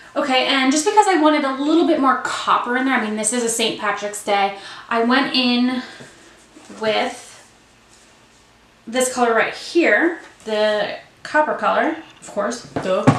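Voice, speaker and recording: Amid noticeable background noise and audible room echo, a woman mumbles at a high pitch with lively intonation and long, frequent pauses. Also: fairly slow pace. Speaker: beauty vlogger. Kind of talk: tutorial. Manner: mumbling.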